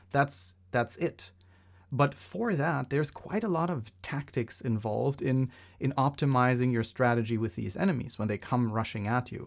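A man's medium-pitched voice at a moderate pace, with ordinary pitch variation, on a very clean recording against a silent background. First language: not English. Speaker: podcast co-host. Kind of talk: casual chat.

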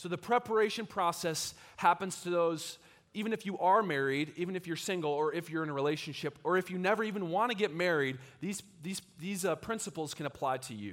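The delivery is animated and fairly quick, with ordinary pitch variation. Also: man, high pitch for a man. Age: 20s. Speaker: young adult pastor. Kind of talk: sermon. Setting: church with live audience.

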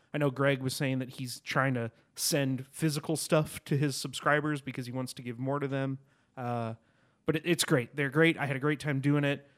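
On a very clean recording with a silent background, a man talks at a moderate pace with a fairly high pitch. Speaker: podcast panelist. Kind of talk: casual chat. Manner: animated.

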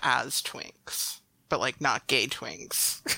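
With an American accent, a woman speaks at a very slow pace in a dry, close sound with no echo. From Chicago suburbs, US Midwest. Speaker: podcast guest. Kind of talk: casual chat. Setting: remote recording online.

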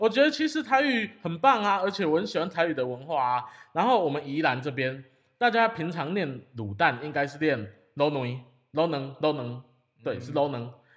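Talking at a fairly quick pace, a man with a fairly high pitch moves through very wide pitch swings. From Taiwan, Yilan. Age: 20s. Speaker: podcast host. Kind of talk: casual chat.

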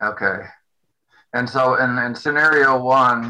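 The man's voice sits at a medium pitch. It has a bright, sharp tone. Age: old. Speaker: retiree, bus rider attending public meeting. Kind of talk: public meeting discussion.

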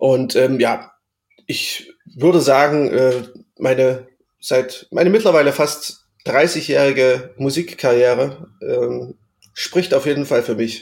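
Speaking at a very slow pace with long, frequent pauses, a man uses a fairly high pitch with ordinary pitch variation. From Saxony, Erzgebirge. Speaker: music podcast co-host. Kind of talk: casual chat.

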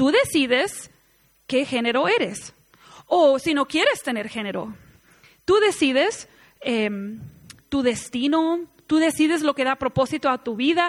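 Lively intonation in a Mexican accent at a fairly slow pace. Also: woman. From United States. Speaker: women's conference speaker. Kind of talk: sermon.

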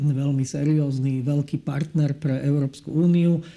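The tone is dark and mellow. Speech goes at a moderate pace with fairly even intonation. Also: man. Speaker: EU official. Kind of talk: interview. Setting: studio. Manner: halting.

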